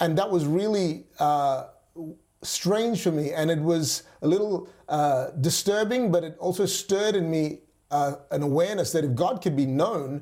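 With an Australian accent, a man speaks in a high voice with a dark, mellow tone. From Western Australia (Perth), from age nine; early childhood in Malaysia. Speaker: pastor. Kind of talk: interview.

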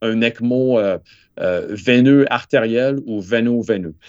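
A very slow pace over a quiet background. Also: man. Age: 50s. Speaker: cardiac surgeon. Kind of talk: interview. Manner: halting, many repetitions.

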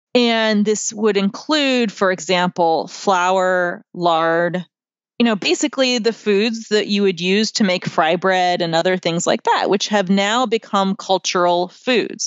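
With an American accent, a woman speaks in an ordinary speaking voice at medium pitch with ordinary pitch variation. Her pace is fairly slow and her loudness very even. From United States. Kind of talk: interview.

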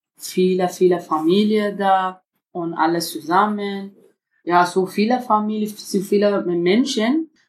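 In a very clean recording with a silent background, a woman speaks at a medium pitch and a very slow pace, with ordinary pitch variation. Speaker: refugee mother. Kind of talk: interview. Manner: halting.

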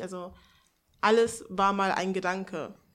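A woman's voice at a medium pitch. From Hannover, northern Germany. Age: 20s. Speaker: seminar participant. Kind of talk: casual chat. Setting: seminar room with live audience.

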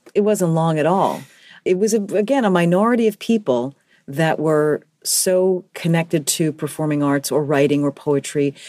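A woman with an American accent and a dark, mellow tone, fairly low in pitch, with lively intonation, very even loudness and a moderate pace, in a very clean recording with a silent background. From New York City, the Bronx. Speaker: alumna of a high school. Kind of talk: interview.

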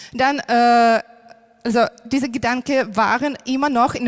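At a very slow pace, a woman speaks with a high pitch and fairly even intonation. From Ukraine. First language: Ukrainian or Russian (speaking German). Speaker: primary school teacher. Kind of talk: testimony. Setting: church stage. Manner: halting, many fillers.

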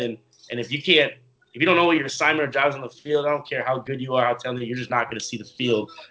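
A man with an American accent speaks at a medium pitch with fairly even intonation. He has an unremarkable speaking voice. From Minnesota (Minneapolis). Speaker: professional football player. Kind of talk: interview.

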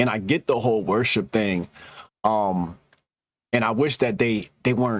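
In a very clean recording with a silent background, a man with a normal speaking voice talks at a medium pitch with ordinary pitch variation. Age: 40s. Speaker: podcast host and tech startup co-founder. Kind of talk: casual chat.

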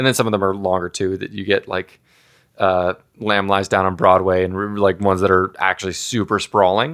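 A man talks at a fairly quick pace in a fairly low pitch, with monotone, flat intonation. The recording is very clean with a silent background and a dry, close sound with no echo. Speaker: rock band frontman and songwriter. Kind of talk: casual interview. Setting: recorded at a gaming festival.

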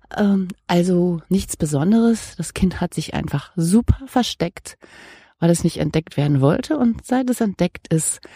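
With a fairly low pitch, a dark, mellow tone and lively intonation, a somewhat breathy woman speaks in a dry, close sound with no echo on a very clean recording with a silent background. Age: 50s. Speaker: podcast host. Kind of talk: casual monologue and interview. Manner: chatty, rambling.

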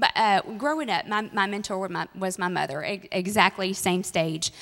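A woman in an ordinary speaking voice, medium pitch, ordinary pitch variation and a fairly slow pace. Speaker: minister's wife. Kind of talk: testimony. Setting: church.

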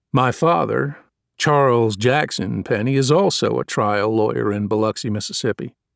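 A man's plain, everyday voice at medium pitch, with ordinary pitch variation, a moderate pace, and a dry, close sound with no echo. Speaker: audiobook narrator. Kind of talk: audiobook reading, first-person narration with courtroom opening statement. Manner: formal, measured, persuasive courtroom oratory.

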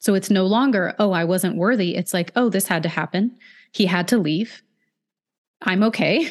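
A woman's medium-pitched voice at a moderate pace, with ordinary pitch variation and a quiet background. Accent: American. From US West Coast (Oregon/California). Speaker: hypnotherapist. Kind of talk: interview conversation. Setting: remote call.

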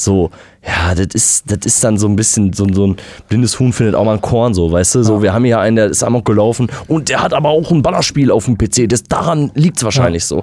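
A man speaks at a very fast pace in a dark, mellow tone. His pitch varies in an ordinary way. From West Germany. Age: 20s. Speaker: podcast co-host. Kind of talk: casual chat.

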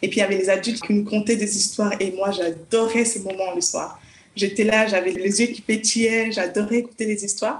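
A woman's medium-pitched voice at a fairly quick pace, monotone and flat in intonation. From Congo (village). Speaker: children's author and psychologist. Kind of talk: interview. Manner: hesitant, with fillers.

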